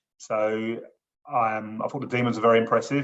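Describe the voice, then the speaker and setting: A man at medium pitch with a southeast English accent, talking at a fairly quick pace. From southeast England. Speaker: gambling support counsellor. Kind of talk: casual chat.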